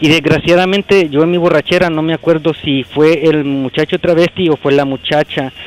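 Noticeable background noise sits behind a man with a fairly high pitch. He speaks with hardly any pauses and fairly even intonation. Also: moderate pace. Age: 40s. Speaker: caller. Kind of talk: phone-in confession.

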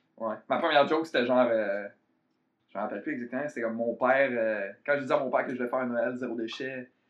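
Medium-pitched and fairly even in intonation, a man with a Quebec accent speaks at a very fast pace. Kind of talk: casual chat.

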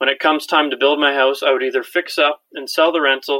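A man speaks with a Canadian accent at a fairly quick pace. His pitch sits fairly high for a man. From Ontario, Canada. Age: 20s. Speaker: listener asking a question. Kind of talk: recorded voicemail question.

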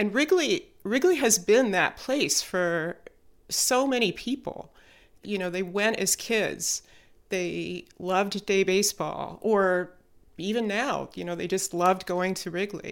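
A woman's plain, everyday voice with an American accent, medium pitch and ordinary pitch variation, at a fairly slow pace on a very clean recording with a silent background. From Chicago area. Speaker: podcast producer. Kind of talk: interview conversation.

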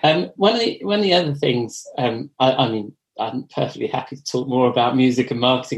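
This man speaks with an English accent. His pace is fairly quick and his pitch variation ordinary. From England. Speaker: podcast host and editor. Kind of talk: casual interview.

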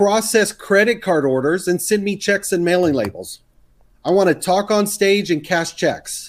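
The speaker has an American accent and very even loudness. The recording is very clean, with a silent background. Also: man, high pitch for a man, ordinary pitch variation, moderate pace. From US South, Texas. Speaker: serial entrepreneur and podcaster. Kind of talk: casual interview conversation.

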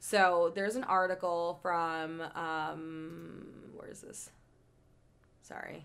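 A woman speaks very slowly at a fairly low pitch, in a monotone, flat intonation with long, frequent pauses. Her loudness swings widely on a very clean recording with a silent background. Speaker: podcast co-host. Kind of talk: casual chat.

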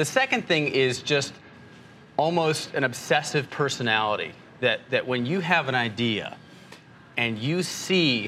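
Through noticeable background noise, a man speaks at medium pitch with lively intonation. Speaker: financial journalist. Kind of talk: casual interview.

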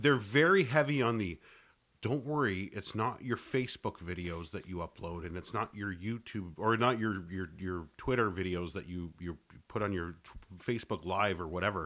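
A man with a Canadian accent and a plain, everyday voice, fairly low in pitch, lively intonation, moderate pace, very clean recording with a silent background. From Canada. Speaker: podcaster and co-host. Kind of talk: casual chat.

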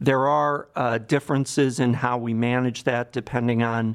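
A man with an American accent, medium in pitch, at a moderate pace with fairly even intonation, over a quiet background. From Cleveland, Ohio, US Midwest. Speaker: psychiatrist, addiction medicine director. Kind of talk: interview.

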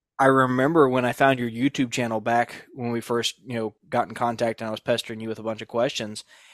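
A man with a Southern US accent speaks at a very fast pace and a medium pitch, with hardly any pauses and a monotone, flat intonation. The recording is very clean with a silent background and a dry, close sound with no echo. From southeast Georgia. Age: 30s. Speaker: podcast host. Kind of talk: casual chat. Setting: on the road for intro.

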